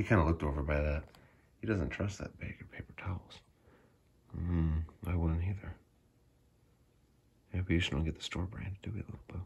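A man talks at a fairly quick pace, his slightly mellow tone carrying a husky, rough edge and vocal fry.

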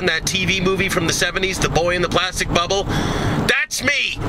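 Loud background noise sits behind the speaker. He is a man whose pitch varies in an ordinary way. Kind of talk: casual phone chat. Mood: jokey, animated. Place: car.

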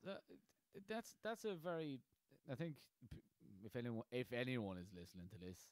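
A man speaks at a moderate pace and medium pitch, his very wide pitch swings broken by long, frequent pauses in a dry, close recording with no echo. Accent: Irish. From Ireland, Carlow. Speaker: podcast host and aspiring comedian. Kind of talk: casual chat.

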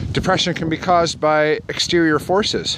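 Noticeable background noise sits behind a man speaking at a moderate pace, the sound dry with no echo. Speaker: vlogger talking about mental health. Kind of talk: casual vlog chat. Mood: calm, reflective. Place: forest. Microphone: phone near.

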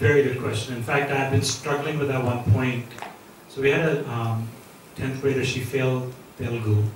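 A man talks with an American accent. Light background noise and audible room echo are present. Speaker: investor and school entrepreneur. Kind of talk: Q&A talk at an event. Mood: relaxed, friendly. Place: hall.

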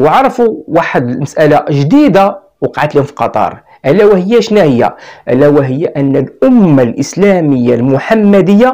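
A man with a Moroccan accent at a fairly slow pace, quiet background behind him. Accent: Moroccan Arabic (Darija). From Morocco. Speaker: YouTuber commentator. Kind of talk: video monologue. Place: studio. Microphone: lapel.

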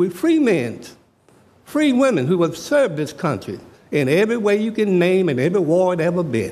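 A high-pitched man with an American accent, very wide pitch swings, a moderate pace and audible room echo. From Richmond, Virginia (US South). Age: 70s. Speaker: public commenter at city council. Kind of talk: public comment speech. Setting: council chambers. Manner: animated.

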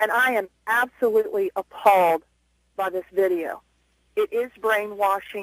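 A woman speaks at a fairly slow pace, the sound dry with no echo and the background quiet. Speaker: radio caller, schoolteacher. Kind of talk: call-in talk radio.

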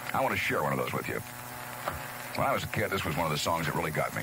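At a moderate pace, the speech comes through dry with no echo amid noticeable background noise. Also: man. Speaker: Top 40 radio disc jockey. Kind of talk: radio DJ patter, Top 40 aircheck. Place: studio. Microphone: old recording.

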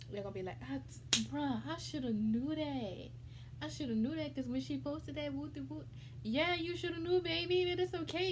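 Noticeable background noise sits behind a woman speaking at a fairly quick pace. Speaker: mukbang vlogger. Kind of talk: casual vlog chat. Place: home room. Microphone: phone near.

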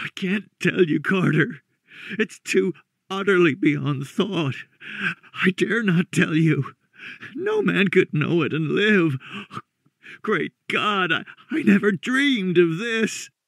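A man's slow, put-on character voice, high-pitched, shaky, hoarse and strained, with vocal fry. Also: lively intonation, dry, close sound with no echo, long, frequent pauses, fairly bright tone.

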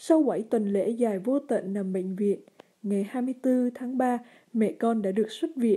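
In a fairly high, somewhat breathy voice with a dark, mellow tone, a woman speaks with lively intonation. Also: quiet background. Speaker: letter reader. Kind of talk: reading aloud. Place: studio. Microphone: studio mic.

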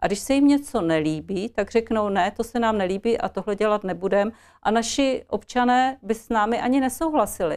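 Over a quiet background, a woman talks at a fairly high pitch with lively intonation in a plain, everyday voice. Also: fairly quick pace, hardly any pauses. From Czech Republic, Ostrava (Moravia-Silesia); Moravia-Silesia, Czech Republic. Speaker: politician, party candidate; politician, candidate. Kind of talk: political interview. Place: studio. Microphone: lapel.

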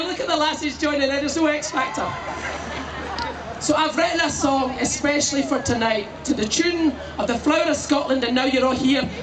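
Over clear background music, a man speaks at a fairly quick pace in an extremely high pitch, with ordinary pitch variation. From Scotland. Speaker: comedian. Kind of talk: live stand-up crowd work. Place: stage.

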